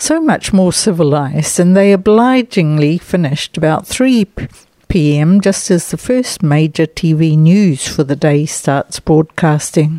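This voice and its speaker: With a New Zealand accent, the speaker has a dark, mellow tone and lively intonation at a fairly slow pace. The sound is dry and close with no echo, and the loudness stays very even. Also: woman, fairly low pitch for a woman. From New Zealand (Nelson). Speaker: overseas correspondent. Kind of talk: scripted report.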